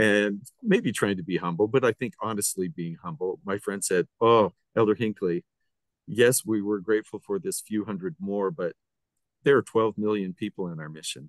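A man with a plain, everyday voice speaks at a moderate pace and a fairly low pitch, with ordinary pitch variation. The sound is dry and close with no echo. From Utah. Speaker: radio podcast host. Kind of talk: interview conversation.

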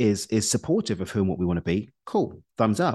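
A man talks with very wide pitch swings. The background is quiet. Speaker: coach and author. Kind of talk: interview. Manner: fast.

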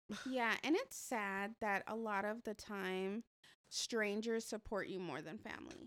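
Fairly slow and fairly high in pitch, a woman speaks with ordinary pitch variation in an unremarkable speaking voice. The recording is very clean, with a silent background and a dry, close sound with no echo. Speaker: podcast co-host. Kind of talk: casual chat.

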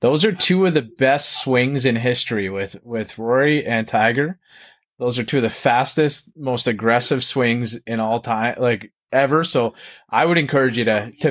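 In an unremarkable speaking voice, a man with a Canadian accent talks at a moderate pace and medium pitch, with ordinary pitch variation over a quiet background. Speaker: podcast host. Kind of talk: casual interview chat.

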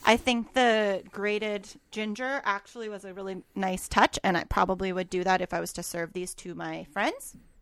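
On a very clean recording with a silent background, a woman with a Canadian accent and a plain, everyday voice talks at a medium pitch and moderate pace, with hardly any pauses and big swings in loudness. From Canada, Alberta. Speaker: podcast co-host. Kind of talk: casual chat.

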